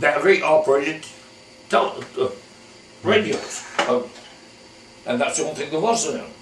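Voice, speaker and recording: Audible room echo surrounds a man speaking at a moderate pace. Noticeable background noise is also present. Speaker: elderly local resident interviewed about town history. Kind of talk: oral history interview. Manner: halting, repetitive phrasing.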